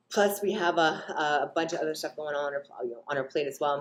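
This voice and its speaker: At a fairly quick pace, a woman talks with a very deep, low pitch and ordinary pitch variation. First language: Russian. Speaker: fitness vlogger. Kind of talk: casual vlog talk to camera. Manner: hesitant, many ums.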